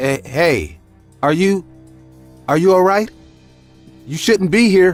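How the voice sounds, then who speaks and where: Over music in the background, a man in a put-on character voice speaks high and shaky at a fairly slow pace, with ordinary pitch variation and long, frequent pauses. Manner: hesitant, fearful.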